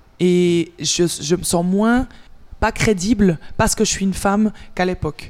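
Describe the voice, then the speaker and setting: A woman talks at a fairly slow pace in a medium pitch. Her pitch variation is ordinary and her loudness very even. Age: 30s. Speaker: gym owner and coach. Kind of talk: interview.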